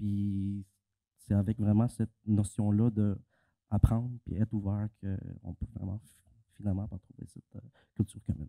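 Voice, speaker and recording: In a dry, close recording with no echo, a man with a Quebec accent speaks in a fairly low, dark, mellow voice with monotone, flat intonation, big swings in loudness and long, frequent pauses. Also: moderate pace. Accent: Québécois French. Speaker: panelist. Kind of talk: panel discussion. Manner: halting.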